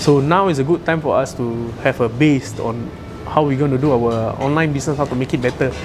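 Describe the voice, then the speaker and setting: Over background music, a soft-spoken man with a medium pitch talks at a fairly quick pace with fairly even intonation. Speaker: restaurant owner. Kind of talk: interview answer.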